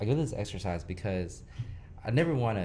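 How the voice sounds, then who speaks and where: A man with an American accent at a fairly quick pace, lively intonation and audible room echo. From Houston, Texas. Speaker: podcast host. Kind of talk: casual interview.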